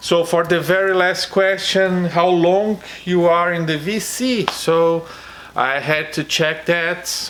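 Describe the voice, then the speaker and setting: Over noticeable background noise, a man talks with a non-native accent. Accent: non-native, self-described bad pronunciation. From Brazil. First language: Portuguese. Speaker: vinyl record YouTuber. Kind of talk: casual vlog contest entry. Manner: halting, many fillers.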